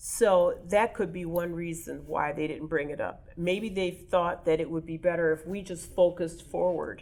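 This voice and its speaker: In an American accent, a woman speaks at a moderate pace in a normal speaking voice, fairly low in pitch with fairly even intonation. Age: 60s. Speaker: oral history interviewee. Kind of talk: interview.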